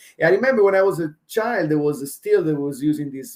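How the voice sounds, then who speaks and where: A man's fairly high-pitched voice with an Italian accent and a dark, mellow tone. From Italy. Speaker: chef. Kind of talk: casual chat. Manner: halting, many fillers.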